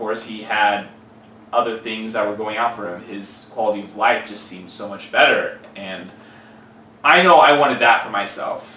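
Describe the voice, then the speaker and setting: A man with a Californian accent talks at a moderate pace, his pitch varying in an ordinary way and his loudness swinging widely. Noticeable background noise and audible room echo are present. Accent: Californian American English. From California, Central Valley. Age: 20s. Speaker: fitness trainer. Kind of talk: interview.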